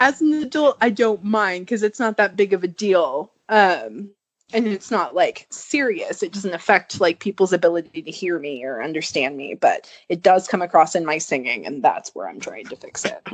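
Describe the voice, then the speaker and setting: Using vocal fry, a woman talks at a moderate pace with very wide pitch swings and big swings in loudness. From Southern California. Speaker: podcast co-host. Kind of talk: casual chat.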